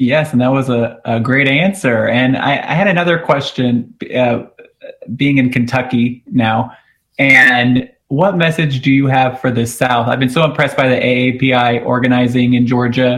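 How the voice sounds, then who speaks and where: An American-accented man speaks at a medium pitch and moderate pace with fairly even intonation and very even loudness. It is an ordinary speaking voice. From Houston, Texas. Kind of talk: radio interview. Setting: remote call.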